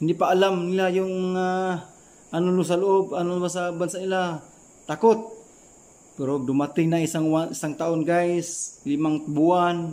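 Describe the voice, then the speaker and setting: The man's pitch is high. He speaks at a fairly slow pace with fairly even intonation. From Philippines. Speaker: former overseas worker. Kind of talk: advice vlog. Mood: earnest, advising. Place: home room. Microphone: phone near.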